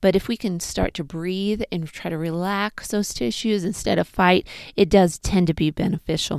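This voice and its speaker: A woman with a normal speaking voice talks at a medium pitch and a moderate pace, with a dry, close sound and no echo. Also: ordinary pitch variation, very clean recording, silent background. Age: 40s. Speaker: pelvic floor physical therapist. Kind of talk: personal health vlog monologue.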